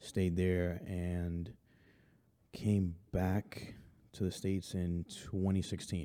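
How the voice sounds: A man talks at a very slow pace in a low, dark, mellow voice. There is little pitch movement.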